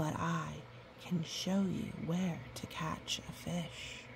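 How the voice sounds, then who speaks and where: A put-on character voice whispers at a very slow pace in a soothing, gentle tone. Loud background noise sits behind it. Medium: read story.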